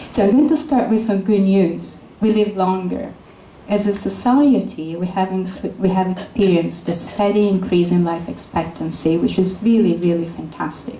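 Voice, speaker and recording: A woman with an Italian accent speaks at a moderate pace in a medium-pitched voice with ordinary pitch variation. Noticeable background noise and audible room echo fill the recording. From Italy, Florence. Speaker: neuroscientist. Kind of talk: lecture.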